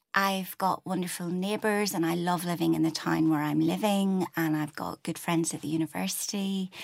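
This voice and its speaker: In a Belfast accent, a woman talks at a moderate pace with a fairly low pitch and fairly even intonation. The recording is very clean, with a silent background. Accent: Belfast Northern Irish. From Belfast, Northern Ireland. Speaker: poet and university lecturer.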